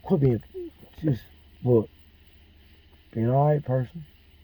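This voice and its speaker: In a Mississippi accent, a man speaks at a medium pitch with a dark, mellow, somewhat breathy tone. His pace is fairly slow, with long, frequent pauses and ordinary pitch variation. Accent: US Southern (Mississippi). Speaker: military veteran. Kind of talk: personal monologue.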